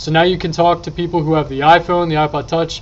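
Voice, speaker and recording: The intonation stays monotone and flat. A man delivers it at a very fast pace. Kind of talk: casual tech tutorial chat. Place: home room. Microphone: webcam.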